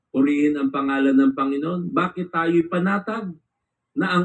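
A man with a high pitch at a fairly slow pace. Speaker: preacher. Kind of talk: sermon. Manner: formal; earnest, preaching.

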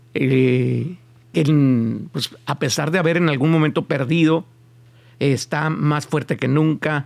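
Fairly slow and fairly high-pitched, a man is speaking. His pitch moves with ordinary variation. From Mexico. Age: 50s. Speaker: podcast host. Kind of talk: casual interview. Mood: relaxed, joking at times. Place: studio. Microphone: studio mic.

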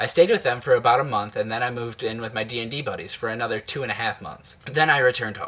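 Someone with an American accent talks very fast, with hardly any pauses. The intonation stays fairly even while the loudness swings widely. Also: man. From Ohio, Toledo; Ohio. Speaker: YouTuber. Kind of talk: personal narration. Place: home room. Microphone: webcam.

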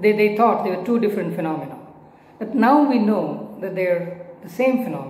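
A man talks at a fairly quick pace. Light background noise and audible room echo are present. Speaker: physics teacher. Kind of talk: lecture. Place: home room. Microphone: phone near.

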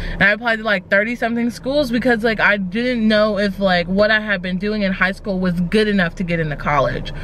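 A woman talks at a fairly quick pace with ordinary pitch variation. The sound is dry with no echo, with light background noise. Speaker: vlogger. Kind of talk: casual vlog chat. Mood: reflective, candid. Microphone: phone near.

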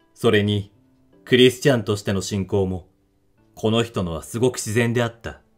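A man's fairly low voice at a moderate pace, fairly even in intonation, with music in the background. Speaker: audiobook narrator / reader of classic literature. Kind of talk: literary reading (rōdoku) of a novel, audiobook style.

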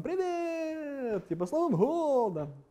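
This is a put-on character voice with a high pitch. The delivery is fairly slow.

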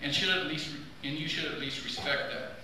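Strong room echo and light background noise surround a man speaking in a raised, projected voice. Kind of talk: formal speech. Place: hall. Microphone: podium.

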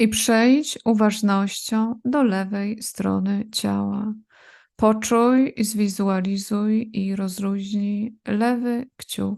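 Against a quiet background, a woman with a fairly high pitch speaks very slowly in a monotone, flat intonation. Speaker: yoga nidra teacher. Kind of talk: guided meditation (yoga nidra relaxation). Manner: slow, calm, soothing, with long pauses between body parts; repetitive, gentle commands: 'rozluźnij' repeated.

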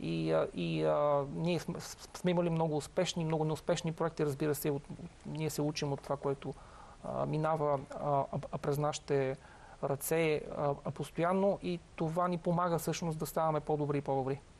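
This man's fairly high voice moves at a moderate pace, with fairly even intonation and very even loudness. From Bulgaria. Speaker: company founder; guest. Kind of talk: interview. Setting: studio. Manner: halting, many fillers and repetitions. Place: studio.

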